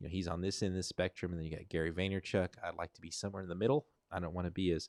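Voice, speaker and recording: This man talks very fast in a very deep, low voice with fairly even intonation. The sound is dry and close, with no echo. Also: very clean recording, silent background. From Arkansas. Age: 50s. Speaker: vlogger. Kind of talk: casual livestream chat. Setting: livestream. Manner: loud.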